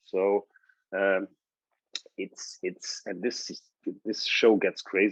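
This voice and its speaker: A man with a German accent speaks fairly slowly in a fairly low voice, recorded dry and close with no echo. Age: 60s. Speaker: TV sports host and former quarterback. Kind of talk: casual interview chat.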